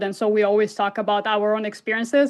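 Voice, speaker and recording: A woman talks at a fairly quick pace in a fairly high pitch. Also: quiet background. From Italy. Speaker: filmmaker. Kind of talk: interview. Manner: halting.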